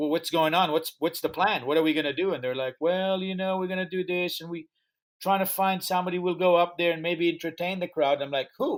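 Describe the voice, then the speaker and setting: A man with a high pitch talks at a fairly quick pace in a very clean recording with a silent background. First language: not English. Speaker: music festival founder and promoter. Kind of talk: interview storytelling. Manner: animated.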